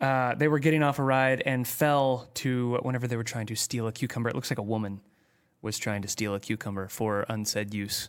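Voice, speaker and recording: A man at medium pitch, fairly even intonation and a fairly quick pace, on a very clean recording with a silent background. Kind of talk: casual chat. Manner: mock radio announcer voice.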